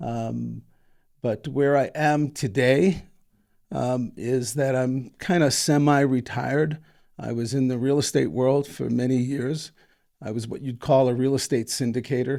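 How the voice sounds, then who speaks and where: A man speaks with an American accent in a dark, mellow tone and fairly even intonation. The recording is very clean, with a silent background. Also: medium pitch for a man, fairly slow pace. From New York. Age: 60s. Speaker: entrepreneur and foundation founder. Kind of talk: interview. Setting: studio. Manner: hesitant, many fillers.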